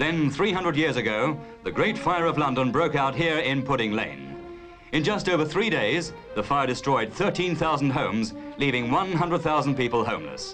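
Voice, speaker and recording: With music in the background, a man speaks at a moderate pace and fairly high pitch, his loudness very even and his intonation lively. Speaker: documentary narrator. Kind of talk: cinema documentary narration.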